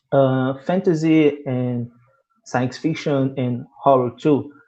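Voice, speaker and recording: With a Portuguese accent, a man speaks at a medium pitch in a dark, mellow tone. His pace is very slow and his intonation fairly even. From Brazil. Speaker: panel moderator, Afrofuturism specialist. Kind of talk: panel interview. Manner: halting.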